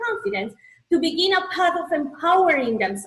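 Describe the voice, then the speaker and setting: A woman talks with a Colombian accent. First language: Spanish. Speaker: spiritual coach and healer. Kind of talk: motivational presentation.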